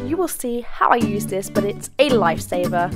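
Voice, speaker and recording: Over music in the background, a woman with an English accent speaks in an upbeat tone at a moderate pace. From Britain. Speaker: beauty and lifestyle YouTuber. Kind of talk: DIY tutorial voiceover.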